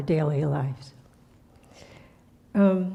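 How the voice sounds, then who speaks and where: A woman's dark, mellow, somewhat breathy voice, fairly low in pitch with ordinary pitch variation, plus audible room echo. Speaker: spiritual teacher. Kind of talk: sermon. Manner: soft-spoken; halting.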